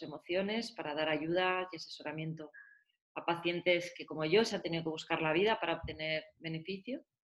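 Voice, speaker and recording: A woman talks at a moderate pace in a fairly low pitch. It is a plain, everyday voice. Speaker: patient advocate, cannabis foundation founder. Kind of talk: interview.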